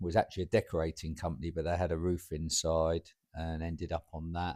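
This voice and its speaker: Speaking fairly quickly, a man uses a very deep, low pitch. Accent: southern English. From southern England, Portsmouth area. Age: 60s. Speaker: roofing business owner and football club chairman. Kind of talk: podcast interview. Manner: hesitant, with many fillers.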